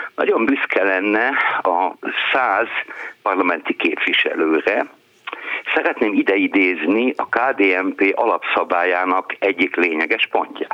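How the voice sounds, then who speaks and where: A man speaks at a very slow pace with long, frequent pauses and very even loudness. Noticeable background noise runs underneath. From eastern Hungary. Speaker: book publisher. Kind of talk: call-in chat.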